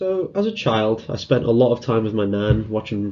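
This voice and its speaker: In a Liverpool accent, a man talks at a moderate pace with a medium pitch and lively intonation. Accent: Liverpool (Scouse). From northern England, Liverpool. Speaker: conference speaker, security student. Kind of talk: conference talk. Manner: casual, hesitant fillers.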